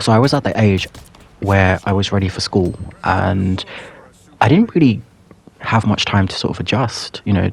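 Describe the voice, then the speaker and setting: Fairly low male speech amid noticeable background noise. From England, Pakistani heritage. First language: Urdu or Punjabi. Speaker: YouTuber. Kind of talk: personal storytelling monologue. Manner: hesitant, many fillers.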